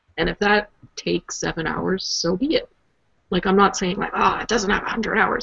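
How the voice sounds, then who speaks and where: Speaking with a Canadian accent, a woman has an unremarkable speaking voice at medium pitch, with ordinary pitch variation and a moderate pace. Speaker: podcast co-host.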